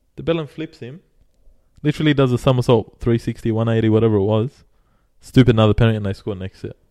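Speaking at a very fast pace, a man uses a medium-pitched voice with a dark, mellow tone and ordinary pitch variation. His loudness swings widely, and the sound is dry and close with no echo. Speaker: sports podcast host. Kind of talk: casual banter. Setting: studio. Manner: animated; angry rant, ranting with heated indignation about the Tigers.

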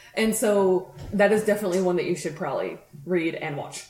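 A woman with an American accent talks at a fairly quick pace and a medium pitch. The recording has audible room echo and noticeable background noise. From US, Colorado (Grand Junction). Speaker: podcast co-host. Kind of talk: casual chat.

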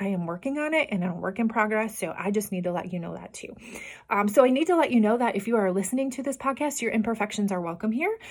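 Speaking with a Midwestern US accent, a woman talks at a very fast pace. Her voice is somewhat breathy, with ordinary pitch variation. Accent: US Midwest. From Iowa. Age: 40s. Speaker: podcast host and health coach. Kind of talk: casual solo monologue. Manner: unedited, with fillers and repetitions.

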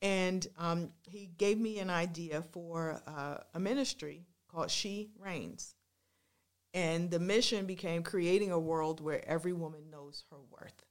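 A woman with an unremarkable speaking voice talks at a fairly slow pace and fairly low pitch, her intonation fairly even but her loudness swinging widely. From Washington, D.C. area. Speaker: ministry founder and singer. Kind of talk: testimony.

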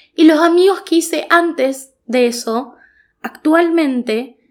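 Speaking at a very slow pace, a woman uses very wide pitch swings in a northeastern Argentine accent. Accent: Argentine Spanish (voseo, northeastern). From Argentina, Goya (Corrientes). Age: 20s. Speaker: podcast host. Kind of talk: solo monologue podcast, casual reflective.

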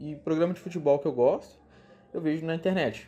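Speaking at a moderate pace, the man has a fairly high pitch and a dark, mellow tone. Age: 20s. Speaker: podcast host, English teacher. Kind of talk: solo casual podcast monologue.

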